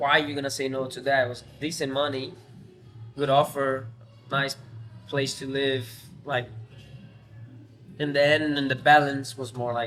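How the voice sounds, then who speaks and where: A man with an American accent talks at a moderate pace in a fairly high, flat monotone, leaving long and frequent pauses. Music plays in the background, and the room echo is audible. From Brazil, São Paulo. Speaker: professional footballer. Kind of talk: podcast interview.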